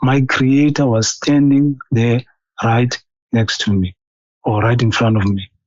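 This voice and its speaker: Speech in a non-native accent at a fairly slow pace, with long, frequent pauses, very even loudness and fairly even intonation. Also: man, medium pitch for a man. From South Africa. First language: not English. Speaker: caller sharing a vision. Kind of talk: testimony. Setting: phone call. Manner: halting, many fillers and repetitions.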